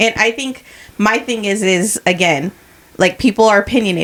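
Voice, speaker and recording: Noticeable background noise sits behind a woman speaking at medium pitch and a moderate pace. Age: 40s. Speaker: podcast co-host. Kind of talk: casual chat.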